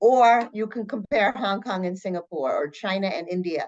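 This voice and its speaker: A woman in a New York accent, medium-pitched, with lively intonation at a moderate pace. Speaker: nonprofit executive. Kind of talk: interview.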